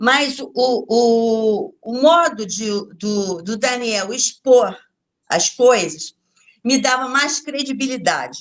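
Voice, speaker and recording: A woman with a high pitch, lively intonation, big swings in loudness and a very slow pace. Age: 70s. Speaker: beautician, course participant. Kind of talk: interview testimony. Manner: halting, repetitive.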